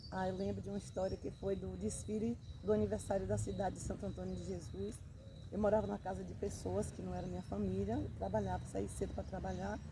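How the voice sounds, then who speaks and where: With vocal fry and a dark, mellow tone, a woman speaks at a very deep, low pitch and a fairly quick pace, using ordinary pitch variation in a room with audible echo. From Bahia, Brazil. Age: 60s. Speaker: interviewee. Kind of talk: interview.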